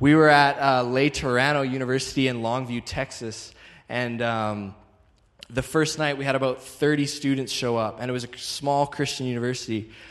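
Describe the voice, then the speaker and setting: Over audible room echo, a man of medium pitch speaks at a moderate pace with fairly even intonation. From Calgary, Canada. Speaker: traveling evangelist. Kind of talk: sermon.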